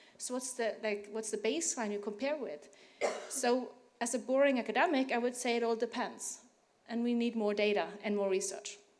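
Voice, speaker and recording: There is audible room echo around this woman's voice. She talks fairly quickly at a fairly high pitch, with ordinary pitch variation. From Norway. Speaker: tax researcher, academic. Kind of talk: panel discussion. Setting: conference panel with audience.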